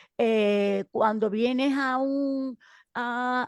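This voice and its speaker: A woman speaks at a high pitch with ordinary pitch variation, in a dry, close sound with no echo. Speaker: school teacher. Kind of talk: video call panel discussion. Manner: halting.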